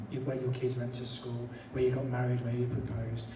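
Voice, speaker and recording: Over noticeable background noise and audible room echo, a man speaks at a medium pitch. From Birmingham, English Midlands. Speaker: environmental campaign leader. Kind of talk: public talk. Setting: stage with live audience.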